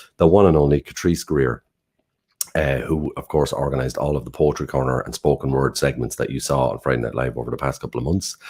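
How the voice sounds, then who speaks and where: A man with an Irish accent talks at a very fast pace in a very deep, low pitch. His intonation is fairly even, with vocal fry. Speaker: online show host. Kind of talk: live show introductions.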